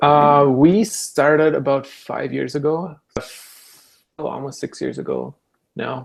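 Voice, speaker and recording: Speaking with a German accent at a fairly slow pace, a man leaves long, frequent pauses and shows big swings in loudness. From Germany. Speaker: wedding photographer. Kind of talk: interview.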